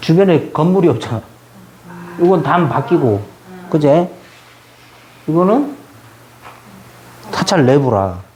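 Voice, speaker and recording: Against noticeable background noise, a man with a Jeju accent speaks at a very slow pace, leaving long, frequent pauses, his fairly high pitch moving through very wide swings. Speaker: Buddhist youth association education officer giving a lecture. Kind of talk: lecture to new members.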